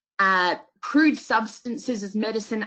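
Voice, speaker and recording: A woman talks at a moderate pace in a fairly high voice with an Australian accent. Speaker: homeopath. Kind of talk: lecture.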